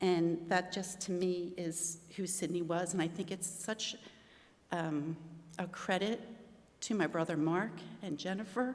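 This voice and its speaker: A woman with an American accent speaks at a fairly slow pace in a medium pitch. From Maryland, Baltimore. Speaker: eulogy speaker, aunt of the deceased. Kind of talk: eulogy. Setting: memorial service in a venue. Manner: halting.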